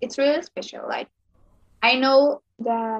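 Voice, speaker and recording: A woman with a Spanish accent at a fairly slow pace, with ordinary pitch variation and a dry, close sound with no echo. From Mexico, Sonora. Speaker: makeup content creator. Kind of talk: interview.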